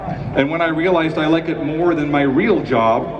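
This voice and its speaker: A man's fairly high voice with an American accent over noticeable background noise. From Chicago, United States. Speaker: television writer and producer giving a commencement speech. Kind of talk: commencement speech, humorous address to graduates. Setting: large auditorium or stadium ceremony. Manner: humorous, conversational, self-deprecating.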